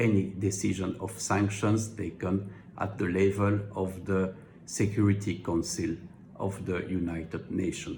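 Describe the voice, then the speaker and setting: Somewhat breathy and in a strong French accent, the voice moves at a fairly slow pace with monotone, flat intonation and audible room echo. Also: man. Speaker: legal commentator. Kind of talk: explainer monologue. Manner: formal, with hesitations.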